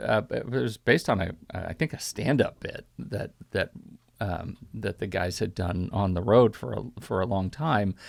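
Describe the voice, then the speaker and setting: Lively intonation and vocal fry mark a man with a fairly low pitch who speaks at a fairly slow pace on a very clean recording with a silent background. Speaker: podcast host. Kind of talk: film podcast discussion.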